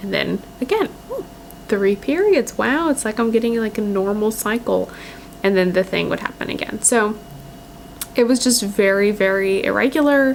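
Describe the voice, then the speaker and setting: Against noticeable background noise, a woman talks at a moderate pace in a fairly high pitch with ordinary pitch variation. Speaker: lifestyle vlogger. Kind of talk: personal vlog. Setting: at home by a windowsill. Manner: casual, hesitant with fillers.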